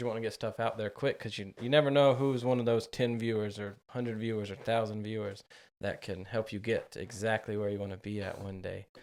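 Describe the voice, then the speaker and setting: A man with an American accent talks at a fairly quick pace, medium pitch and fairly even intonation. It is a normal speaking voice, in a very clean recording with a silent background. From US South, western North Carolina. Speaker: podcast host. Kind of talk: casual chat.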